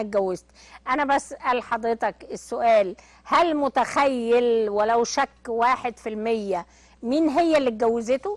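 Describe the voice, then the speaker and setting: Against a quiet background, the speaker talks at a fairly slow pace with ordinary pitch variation, the sound dry with no echo. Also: woman. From Egypt. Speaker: television presenter; TV talk show host. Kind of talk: TV talk show monologue; TV commentary and interview questions. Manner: animated. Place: studio.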